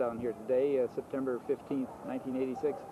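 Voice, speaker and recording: A man talks at a fairly quick pace with ordinary pitch variation. There is noticeable background noise. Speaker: oral history interviewer. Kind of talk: interview questions. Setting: outdoors.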